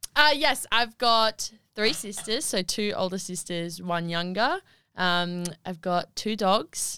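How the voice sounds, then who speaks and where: Speaking very slowly with an Australian accent, a woman uses a bright, sharp tone at a medium pitch with lively intonation, on a very clean recording with a silent background. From Australia, Wagga Wagga NSW. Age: 20s. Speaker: netball player. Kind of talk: casual chat. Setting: studio.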